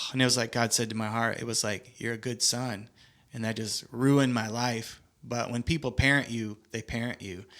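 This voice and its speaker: A man's medium-pitched voice with an American accent, monotone, flat intonation, and a moderate pace, on a very clean recording with a silent background. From Michigan, US Midwest. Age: 40s. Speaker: ministry leader and mentor. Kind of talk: casual podcast conversation.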